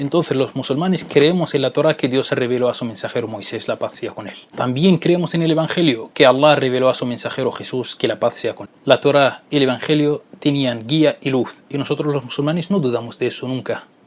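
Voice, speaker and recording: There are hardly any pauses as this man talks in a fairly high voice with ordinary pitch variation. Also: fairly quick pace. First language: not Spanish (speaking Spanish). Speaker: Islamic religious educator. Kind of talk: educational video lecture.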